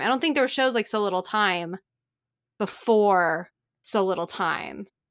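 Speaking with a plain, everyday voice, a woman keeps a medium pitch and a moderate pace. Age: 20s. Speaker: podcast host. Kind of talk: casual chat. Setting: remote call.

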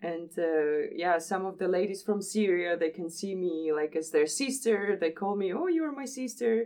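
Speaking with a Georgian accent, a woman keeps a moderate pace and lively intonation with hardly any pauses. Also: medium pitch for a woman. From Republic of Georgia. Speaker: missionary. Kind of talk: interview.

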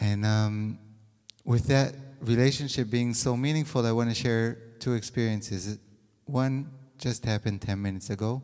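A man speaks with a dark, mellow tone. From Israel. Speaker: couples counselor. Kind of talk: panel discussion. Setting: stage with audience.

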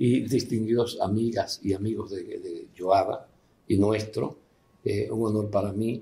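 Somewhat breathy and dark, mellow in tone, a man's medium-pitched voice moves at a very slow pace. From Dominican Republic. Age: 70s. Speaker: father of the host. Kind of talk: life story interview. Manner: halting.

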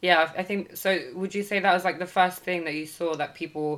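The speaker has a British accent. Their intonation stays fairly even. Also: woman. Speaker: podcast host. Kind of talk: casual chat.

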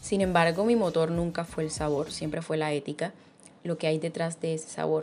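A woman at a moderate pace with a fairly low pitch and fairly even intonation, music playing in the background. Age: 20s. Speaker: journalist. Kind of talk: recorded testimony.

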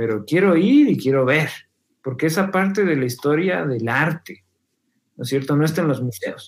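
A man's normal speaking voice at a moderate pace. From Ecuador, Quito. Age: 40s. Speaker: filmmaker and musician. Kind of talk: casual interview.

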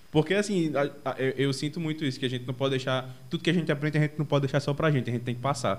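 A man's fairly high-pitched voice rushes along very fast, its intonation fairly even. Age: 20s. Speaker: podcast host. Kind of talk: casual chat. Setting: video call. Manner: halting.

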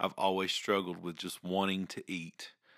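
This man, speaking with a Southern US accent, has a bright, sharp tone and a fairly low pitch at a fairly quick pace. The recording is very clean, with a silent background. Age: 30s. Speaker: podcast host. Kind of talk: personal monologue. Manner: halting.

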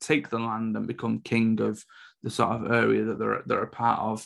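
A man is speaking here. He has a British accent. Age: 30s. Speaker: film reviewer. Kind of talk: solo review podcast.

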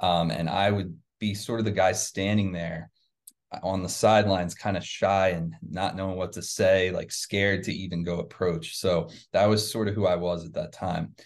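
Against a quiet background, a man with an American accent speaks at a moderate pace in a very deep, low voice with vocal fry and ordinary pitch variation. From New Jersey near Philadelphia. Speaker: email marketing agency CEO. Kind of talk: interview.

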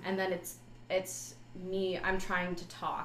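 A woman's voice at a moderate pace, with noticeable background noise. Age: young. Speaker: music student and recording artist. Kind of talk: interview.

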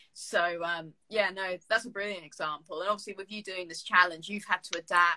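A woman speaks at a medium pitch and a fairly quick pace, with hardly any pauses and monotone, flat intonation. Her bright, sharp tone shows big swings in loudness in a dry, close sound with no echo. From Jersey. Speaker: podcast host, university student. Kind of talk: casual chat interview.

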